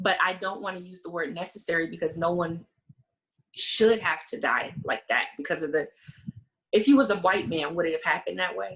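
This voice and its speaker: In an unremarkable speaking voice, a woman with an American accent talks at a fairly quick pace, her fairly low pitch showing ordinary pitch variation and big swings in loudness. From South Carolina Lowcountry. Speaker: funeral director and grief guide. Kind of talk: interview conversation.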